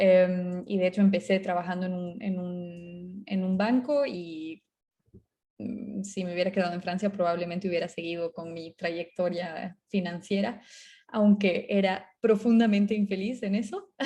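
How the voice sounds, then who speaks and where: A woman's dark, mellow, somewhat breathy voice at medium pitch, fairly slow and fairly even in intonation, with big swings in loudness. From Bolivia. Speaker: startup co-founder. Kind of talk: talk to an audience. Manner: halting, many fillers.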